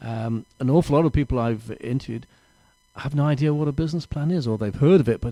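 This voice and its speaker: Speaking very fast, a man with an English accent shows ordinary pitch variation. His tone is dark and mellow. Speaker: small business mentor. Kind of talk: interview.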